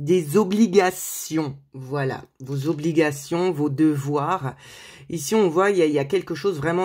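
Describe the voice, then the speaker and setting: A woman speaks at a fairly slow pace with a very deep, low pitch and ordinary pitch variation. The recording is very clean, with a silent background. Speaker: tarot card reader, medium. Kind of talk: tarot reading video. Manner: hesitant, many fillers.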